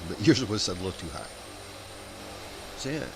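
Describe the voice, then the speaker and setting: Talking at a very fast pace, a man with an American accent has a fairly low pitch, a somewhat breathy voice and lively intonation. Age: 50s. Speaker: flight sim streamer. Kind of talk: casual chat.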